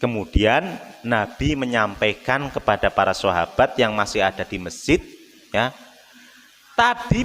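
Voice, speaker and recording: Noticeable background noise sits behind the speech. A man talks with a Javanese accent. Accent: Javanese, Solo-style eastern Javanese tinge. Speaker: Islamic preacher. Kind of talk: sermon. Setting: mosque. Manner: casual, mixing in Javanese.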